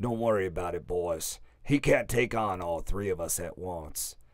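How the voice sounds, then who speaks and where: This is a put-on character voice with a raspy edge and ordinary pitch variation, delivered at a moderate pace. The recording is very clean, with a silent background. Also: man, very deep, low pitch for a man. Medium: read story. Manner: smirking, bullying.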